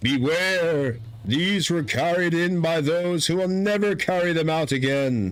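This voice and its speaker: In a put-on character voice pitched high, a man talks at a fairly slow pace. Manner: flat, monotone, ominous.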